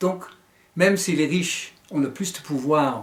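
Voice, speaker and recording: With an American accent, a man speaks at a fairly slow pace with lively intonation. Audible room echo surrounds his voice. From United States. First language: English (speaking French). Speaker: author and teacher. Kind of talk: book presentation. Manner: hesitant, with fillers.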